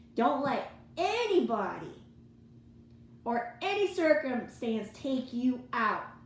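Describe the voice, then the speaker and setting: A woman with a high pitch speaks loudly at a very slow pace with very wide pitch swings, and audible room echo surrounds her voice. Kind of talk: motivational religious monologue. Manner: animated.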